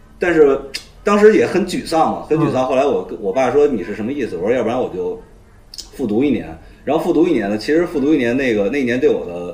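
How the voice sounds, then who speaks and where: A man talks at a very fast pace with a fairly high pitch and very wide pitch swings, with audible room echo and noticeable background noise. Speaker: comedian. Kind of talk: casual chat.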